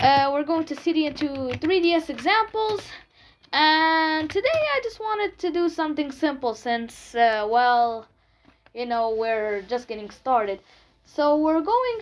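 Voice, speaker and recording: The woman's speech carries a non-native accent. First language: not English. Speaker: tech tutorial youtuber. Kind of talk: tutorial. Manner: halting, with fillers.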